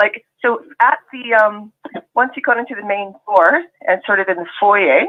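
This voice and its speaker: A woman with a Canadian accent speaks at a fairly slow pace, fairly high in pitch, with ordinary pitch variation. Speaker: ex-Jehovah's Witness participant. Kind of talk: casual chat.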